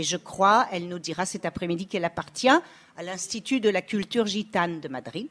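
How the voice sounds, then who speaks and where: At a fairly quick pace, a woman talks at medium pitch. She has a normal speaking voice. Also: ordinary pitch variation. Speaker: historian and moderator. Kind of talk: conference talk. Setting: stage with audience.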